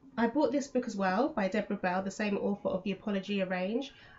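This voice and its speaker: Noticeable background noise accompanies a woman with a British accent. She speaks at a fairly quick pace, with medium pitch and ordinary pitch variation. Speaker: homeschooling parent and vlogger. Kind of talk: casual vlog explanation. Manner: fast; hesitant with fillers.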